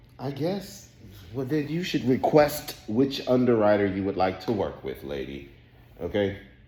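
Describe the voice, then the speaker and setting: A man speaks at a moderate pace and medium pitch, his voice swinging very widely in pitch, with audible echo in the room. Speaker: office worker. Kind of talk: casual chat. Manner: loud.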